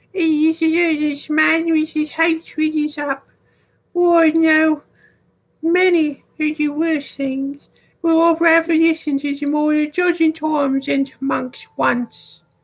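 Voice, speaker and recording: A put-on character voice, high-pitched, delivered at a fairly slow pace. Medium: game stream. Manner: hushed, uneasy.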